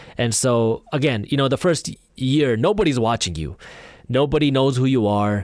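A man with an ordinary speaking voice talks at a medium pitch and moderate pace, his intonation lively. The recording is very clean, with a silent background. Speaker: entrepreneur and YouTuber. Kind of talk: casual interview.

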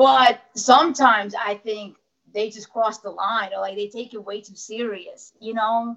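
A woman with an American accent uses a plain, everyday voice, fairly high in pitch and fairly slow. Her intonation stays fairly even while her loudness swings widely. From New Jersey. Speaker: professional wrestler. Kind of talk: casual interview.

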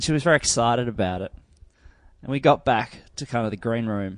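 This man has an Australian accent and medium pitch. His intonation is lively and his pace fairly quick. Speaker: podcast guest. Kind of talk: casual chat. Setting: video call.

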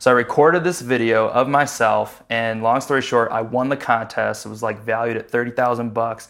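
A man speaks at a fairly quick clip in a medium pitch, with hardly any pauses and music playing in the background. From Chicago. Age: 20s. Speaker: entrepreneur. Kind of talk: casual interview. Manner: animated.

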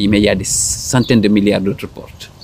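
A man's voice, pitched fairly low. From Senegal. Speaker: psychologist. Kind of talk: interview. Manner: halting.

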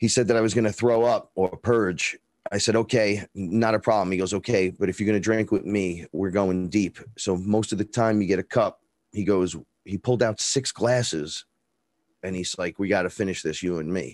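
A man with a Bronx accent speaks at a moderate pace in a fairly low voice. The recording is very clean, with a silent background and a dry, close sound with no echo. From New York, the Bronx. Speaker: rapper and neo-shaman. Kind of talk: interview storytelling. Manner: talkative; animated.

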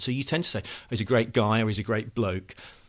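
The voice has audible vocal fry. The recording is very clean, with a silent background. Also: man. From English Midlands. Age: 40s. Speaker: author. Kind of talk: panel discussion.

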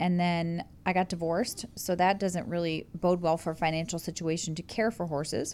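An ordinary speaking voice, this woman's is fairly low-pitched. She talks at a moderate pace with fairly even intonation. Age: 30s. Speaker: host's wife. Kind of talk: casual chat. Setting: studio.

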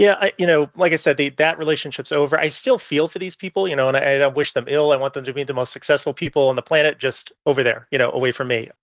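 Racing at a very fast pace, a man talks at a fairly high pitch with ordinary pitch variation. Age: 40s. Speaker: caller. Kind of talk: advice call.

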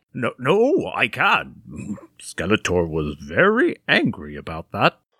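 On a very clean recording over a silent background, a man does a cartoonish character voice with a fairly low pitch, a bright, sharp tone, a slightly husky edge and very wide pitch swings, all at a slow pace.

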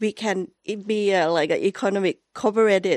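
The sound is dry and close, with no echo. The speaker goes at a fairly slow pace with a Thai accent. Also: woman, quiet background. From Thailand. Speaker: journalist. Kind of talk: panel discussion. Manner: halting.

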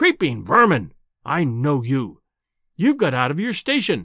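A put-on character voice with a slightly husky edge swings very widely in pitch. It moves at a fairly slow pace on a very clean recording with a silent background. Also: man, fairly high pitch for a man.

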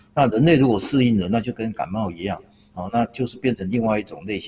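The talking comes at a very fast pace. The voice is somewhat breathy. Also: man. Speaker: public health professor. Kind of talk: expert interview.

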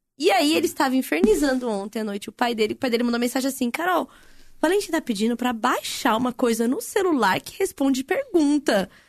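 The speech moves at a very fast pace with very wide pitch swings. The sound is dry and close, with no echo. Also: woman, high pitch for a woman. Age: 30s. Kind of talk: casual chat.

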